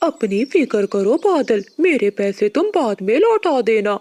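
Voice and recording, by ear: Someone does a cartoonish character voice, pitched fairly high and delivered fairly slowly.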